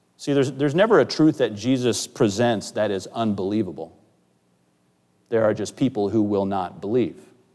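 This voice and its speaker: A man with a plain, everyday voice talks at a moderate pace and medium pitch, with ordinary pitch variation, on a very clean recording with a silent background. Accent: American. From US Pacific Northwest. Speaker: pastor. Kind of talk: sermon. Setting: church.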